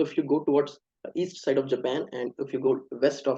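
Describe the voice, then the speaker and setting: A man with an Indian accent speaks at a fairly quick pace. His pitch sits in the medium range, and his tone is dark and mellow. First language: Hindi. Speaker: speaker on US university applications. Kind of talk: online webinar presentation. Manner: halting, many fillers.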